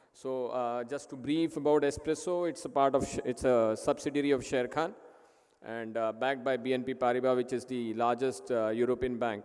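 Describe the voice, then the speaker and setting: A man's fairly even intonation and medium pitch carry through his fairly quick delivery. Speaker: sponsor company representative. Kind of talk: conference speech.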